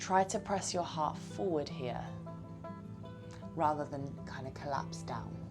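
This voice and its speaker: Music plays in the background as a soft-spoken woman talks at a fairly slow pace with long, frequent pauses. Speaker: yoga teacher. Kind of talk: yoga class instruction. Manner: soft-spoken, calm.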